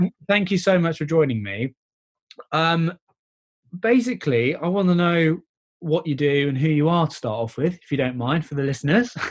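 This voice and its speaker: At a moderate pace with long, frequent pauses, a man with a British accent uses lively intonation and a fairly high pitch. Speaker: podcast host. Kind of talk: interview.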